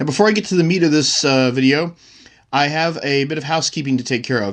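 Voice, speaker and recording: Against a quiet background, a man talks fairly quickly in an ordinary speaking voice with a fairly high pitch. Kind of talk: casual talk to camera.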